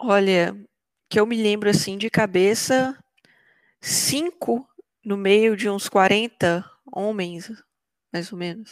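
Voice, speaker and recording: Her pitch is medium and varies in an ordinary way. The woman speaks at a very slow pace with long, frequent pauses. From Brazil, Belo Horizonte metro area. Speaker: software developer. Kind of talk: interview.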